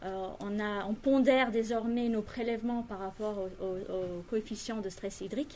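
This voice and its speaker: At a moderate pace, a woman with a fairly high pitch and a dark, mellow tone speaks with fairly even intonation. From France and Britain (Franco-British). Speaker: industrial environmental engineer. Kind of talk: interview explanation.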